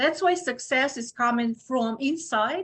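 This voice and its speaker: With a Ukrainian accent, a woman speaks at a high pitch with ordinary pitch variation. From Ukraine. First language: Ukrainian or Russian. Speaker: obstetrician gynecologist. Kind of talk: podcast interview. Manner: halting, with many fillers.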